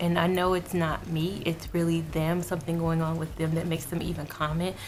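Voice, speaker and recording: A woman at a fairly low pitch and fairly quick pace, very even in loudness, with audible room echo and noticeable background noise. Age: 20s. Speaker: beauty vlogger. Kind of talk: casual chat. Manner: animated.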